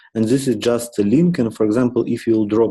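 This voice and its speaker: A man at medium pitch speaks with fairly even intonation. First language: not English. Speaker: software architect leading meeting. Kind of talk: work meeting discussion. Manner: halting, many fillers.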